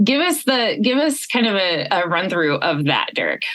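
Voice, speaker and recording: A woman with a US Midwestern accent speaks at a moderate pace and a fairly high pitch, with vocal fry. Her pitch swings very widely. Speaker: podcast host and coach. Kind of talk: podcast interview.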